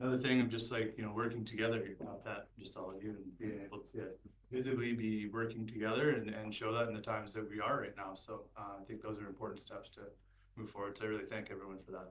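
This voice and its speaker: A man speaks quietly at a very fast pace and a fairly low pitch, his intonation monotone and flat, with big swings in loudness and audible room echo. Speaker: board chair. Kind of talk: council meeting.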